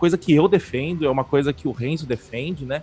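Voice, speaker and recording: A man speaks at a fairly high pitch. His pace is fairly quick. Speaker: podcast co-host, programmer. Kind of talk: casual chat. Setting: home studio, live stream.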